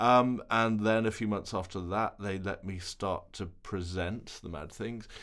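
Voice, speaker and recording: In an ordinary speaking voice, the speaker goes at a fairly slow pace with hardly any pauses and fairly even intonation, on a very clean recording with a silent background. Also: man, fairly low pitch for a man. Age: 40s. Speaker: television reporter. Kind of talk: interview. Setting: studio.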